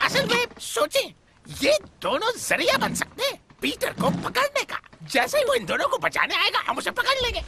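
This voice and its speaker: The speed is moderate. Someone uses a put-on character voice. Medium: fan dub. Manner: obsequious, deferential.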